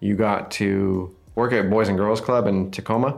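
A man with a fairly low pitch talks in an ordinary speaking voice. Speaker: podcast host. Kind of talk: casual interview. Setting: studio, in person at microphones.

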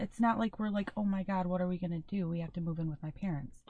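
This woman's voice has a dark, mellow tone. It sounds somewhat breathy. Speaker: podcast co-host (daughter). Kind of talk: casual chat.

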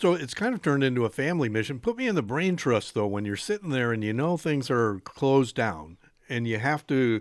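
The recording is very clean, with a silent background. A man with an unremarkable speaking voice talks at a fairly quick pace, using a fairly high pitch and lively intonation. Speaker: radio host. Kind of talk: radio talk show. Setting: radio studio.

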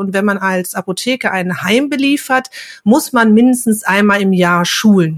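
At a fairly slow pace, a woman speaks in a plain, everyday voice with ordinary pitch variation. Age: 50s. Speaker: pharmacy technician and trainer. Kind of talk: casual interview.

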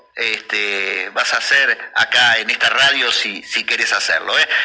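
A man's voice with noticeable background noise. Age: 50s. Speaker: local radio host. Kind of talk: radio interview.

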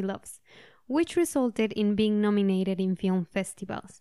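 A woman's fairly high voice in a Spanish accent, dark and mellow in tone, with ordinary pitch variation, a dry, close sound with no echo, and a very clean recording with a silent background. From Mexico. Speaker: podcast host. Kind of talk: interview, conversational.

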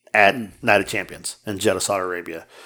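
A man talks at a fairly quick pace. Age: 50s. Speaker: podcast co-host. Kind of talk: casual chat. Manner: animated.

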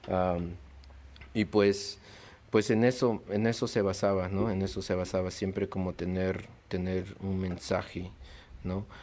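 In a very clean recording with a silent background, a man speaks at a fairly slow pace with long, frequent pauses. His very deep, low pitch has a dark, mellow tone and fairly even intonation. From Peru, then USA from age 10. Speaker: visual artist. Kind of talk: casual interview. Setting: late-night chat over beers.

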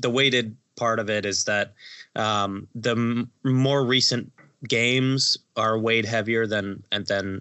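A man speaks at a fairly slow pace and a medium pitch. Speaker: podcast co-host. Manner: jokey, playful.

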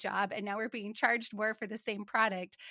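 In a very clean recording with a silent background and a dry, close sound with no echo, a woman with an American accent speaks in a fairly high pitch with a bright, sharp tone. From Montana, US. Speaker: finance professional and podcast host. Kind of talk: interview conversation.

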